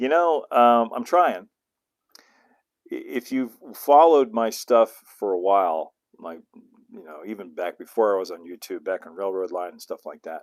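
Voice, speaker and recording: The speaker has an American accent and a moderate pace. Loudness swings a lot, and pitch swings very widely. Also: man, medium pitch for a man. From US West (southern California). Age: 60s. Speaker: model railroading YouTuber. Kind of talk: livestream Q&A, casual chat. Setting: home studio livestream. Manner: hesitant, many fillers and restarts.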